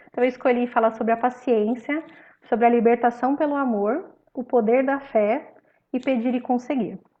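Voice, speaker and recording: Her pitch sits high for a woman. This woman's intonation stays fairly even. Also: moderate pace. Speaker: spiritist study group presenter. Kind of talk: religious study talk.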